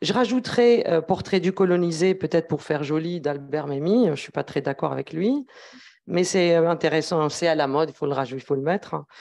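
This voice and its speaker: A woman speaks at a fairly quick pace with a fairly low pitch and a dark, mellow tone. Her pitch varies in an ordinary way, and the background is quiet. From Algeria. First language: Arabic and Kabyle (speaking French). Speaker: academic researcher; speaker. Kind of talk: academic talk at round table. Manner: hesitant, many fillers. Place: meeting room. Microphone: handheld.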